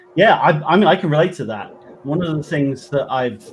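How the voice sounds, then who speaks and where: A man speaks with a West Country accent and ordinary pitch variation. Noticeable background noise runs underneath. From West Country, England. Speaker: paranormal investigator and trance medium. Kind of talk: interview answer.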